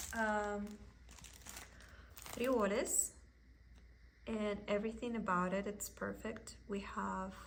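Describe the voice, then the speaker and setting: Speaking very slowly with long, frequent pauses, a woman is heard through audible room echo and noticeable background noise. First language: Russian. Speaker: cross stitch content creator. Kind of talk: casual haul video chat.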